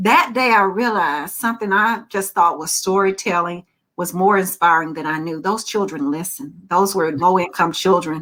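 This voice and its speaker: A woman's medium-pitched, bright and sharp voice with an animated tone, ordinary pitch variation, a moderate pace and hardly any pauses. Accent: Southern US. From Alabama. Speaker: children's author. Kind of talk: virtual panel talk. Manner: animated storytelling.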